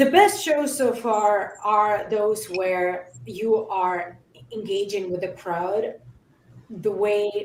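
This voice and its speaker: A woman with a non-native accent speaks at a medium pitch with ordinary pitch variation, and audible room echo surrounds her voice. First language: not English. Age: 30s. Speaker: metalcore musician. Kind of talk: casual interview chat. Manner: halting.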